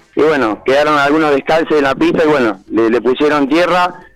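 The speaker goes at a fairly quick pace over noticeable background noise. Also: man. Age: 20s. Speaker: racing driver and machine mechanic. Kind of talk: radio interview.

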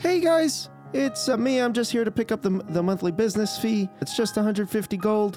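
A squeaky, put-on character voice with a fairly high pitch moves at a moderate pace. Clear music plays in the background. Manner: cheerful, friendly.

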